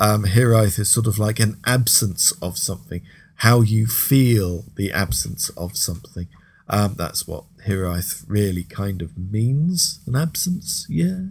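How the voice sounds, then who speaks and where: This man sounds upbeat and enthusiastic, his fairly low, somewhat breathy voice moving at a fairly slow pace with ordinary pitch variation. The recording is very clean and the background silent. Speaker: radio host. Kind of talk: radio DJ patter introducing tracks. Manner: relaxed, friendly, chatty; upbeat, enthusiastic about the music.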